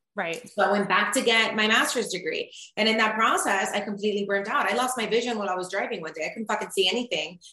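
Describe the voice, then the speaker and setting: Amid noticeable background noise, a woman with a fairly high pitch speaks at a very fast pace with hardly any pauses. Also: ordinary pitch variation. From Cuba, moved to US at 10. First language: Spanish. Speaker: mindset coach and media personality. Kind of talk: casual interview chat.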